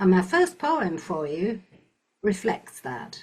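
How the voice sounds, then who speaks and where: Speaking at a very slow pace, a woman with a northern English accent has a medium pitch and a somewhat breathy voice. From northern England, Lancashire. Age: old. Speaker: performance poet. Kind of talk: casual talk to listeners; poetry reading.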